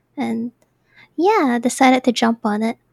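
A woman is talking. She has a high pitch. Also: dry, close sound with no echo. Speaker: VTuber streamer. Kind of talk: casual chat. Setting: video call.

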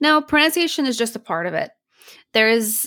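A woman talks with an American accent. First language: Polish. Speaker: speech pathologist and accent coach. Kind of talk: casual interview.

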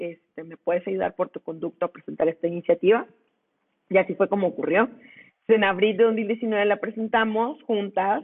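With an ordinary speaking voice, a woman talks at a medium pitch with ordinary pitch variation and big swings in loudness. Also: moderate pace. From Mexico, Monclova (Coahuila). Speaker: lawyer and women's rights activist. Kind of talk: interview.

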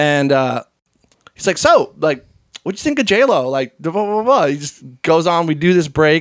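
Here a man talks with a Central Pennsylvania accent. His pitch is high, and his intonation is lively. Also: moderate pace. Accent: Central Pennsylvania American. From central Pennsylvania (Hershey). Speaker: DJ and remixer. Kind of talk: casual chat. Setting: host's home.

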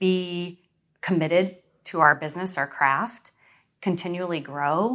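On a very clean recording with a silent background, a woman talks at a fairly slow pace in a bright, sharp tone at medium pitch. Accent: American. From Western New York. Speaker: real estate broker and speaker. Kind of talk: interview, casual.

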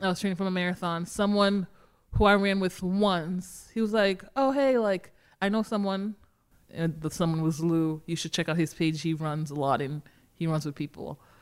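An ordinary speaking voice from a woman, fairly low in pitch, with an American accent, moderate pace and ordinary pitch variation, on a very clean recording with a silent background. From Massachusetts, Boston area. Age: 30s. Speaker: running crew founder. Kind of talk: casual interview.

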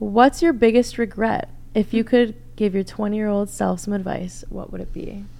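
Over noticeable background noise, a woman with a fairly high pitch talks at a moderate pace, her loudness swinging widely while her intonation stays fairly even. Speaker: co-host. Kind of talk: casual interview chat.

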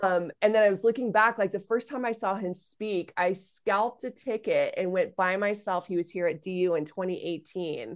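A woman with a normal speaking voice talks at a moderate pace with hardly any pauses, against a quiet background. Her pitch is medium, with ordinary pitch variation. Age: 40s. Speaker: founder of an online mothers' community, former comedy performer. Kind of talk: interview conversation.

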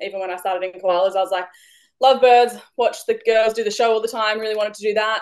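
Against a quiet background, someone talks very fast with an Australian accent. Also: woman. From Australia, Victoria. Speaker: wildlife educator, business owner. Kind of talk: casual chat.

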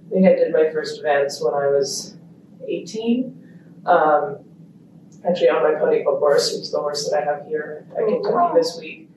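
At a moderate pace, a woman talks amid noticeable background noise and audible room echo. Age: 20s. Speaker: equestrian rider. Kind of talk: interview.

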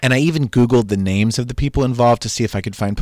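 The reading voice here is unforced. Pitch shifts only in an ordinary way.

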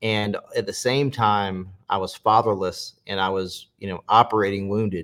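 A normal speaking voice in an American accent, with fairly even intonation and a moderate pace. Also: man, fairly low pitch for a man. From US South, South Carolina. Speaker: preacher and former adult film actor. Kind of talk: testimony.

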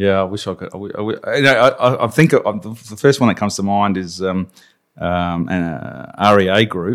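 With an Australian accent, a man speaks at a moderate pace in a fairly low pitch with ordinary pitch variation. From Australia, Adelaide. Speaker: agile coach. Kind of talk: interview. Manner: halting.

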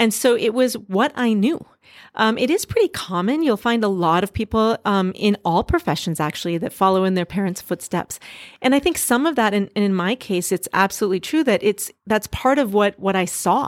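In a plain, everyday voice, a woman with an American accent speaks at a moderate pace and medium pitch with lively intonation, the sound dry and close with no echo on a very clean recording with a silent background. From US Midwest, Duluth, Minnesota. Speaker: doctor. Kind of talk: interview.

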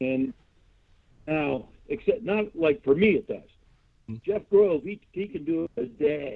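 Speaking fairly slowly with long, frequent pauses, a man with a high pitch uses lively intonation. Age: 60s. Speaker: model kit maker, hobbyist. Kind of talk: casual interview chat.

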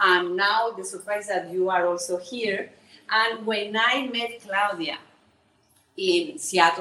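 A woman's bright, sharp voice at medium pitch, fairly slow, with a Spanish accent. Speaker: bookseller. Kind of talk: speech. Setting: stage with audience. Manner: halting.

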